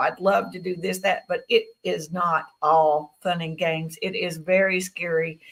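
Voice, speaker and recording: A woman speaks with a Southern US accent. Her pitch sits in the medium range. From Tennessee. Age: 60s. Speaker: guest speaker on experiencer stories. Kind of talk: interview testimony.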